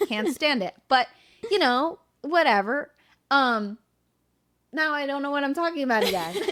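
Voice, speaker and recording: A bright, sharp tone at a moderate pace, with very wide pitch swings and long, frequent pauses. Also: woman, high pitch for a woman. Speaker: podcast co-host. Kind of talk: casual chat. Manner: many filler sounds.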